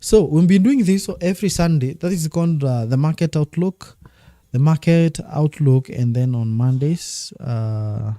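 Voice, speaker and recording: Music plays behind a man speaking at a moderate pace. His intonation is lively, his tone animated, and the sound is dry and close with no echo. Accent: East African. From Kenya. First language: Swahili. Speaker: forex trading teacher. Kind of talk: live stream trading analysis. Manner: repetitive, animated.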